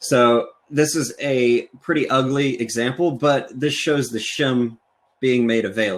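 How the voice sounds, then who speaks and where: A man with a normal speaking voice, medium pitch and ordinary pitch variation, on a very clean recording with a silent background. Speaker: software engineer and conference speaker. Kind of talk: technical conference talk with live demo.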